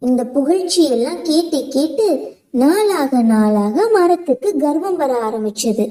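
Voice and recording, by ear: A woman speaks with a high pitch and a dark, mellow tone. Her intonation is lively while her pace stays fairly slow.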